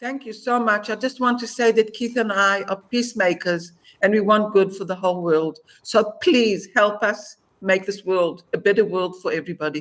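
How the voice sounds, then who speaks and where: A woman's medium-pitched voice, showing ordinary pitch variation, proceeds at a moderate pace. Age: 60s. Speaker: former hostage. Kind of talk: interview testimony.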